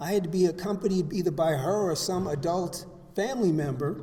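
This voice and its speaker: Audible room echo surrounds a man's high-pitched voice. He speaks at a moderate pace with ordinary pitch variation. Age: 70s. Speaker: recovery speaker. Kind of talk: testimony. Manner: halting.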